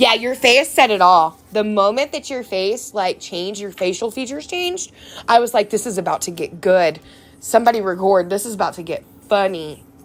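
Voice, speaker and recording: Animated and lively in intonation, a woman with an American accent talks at medium pitch and a fairly quick pace. Her loudness swings widely. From Texas. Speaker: nail art crafter streamer. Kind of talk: casual live stream chat.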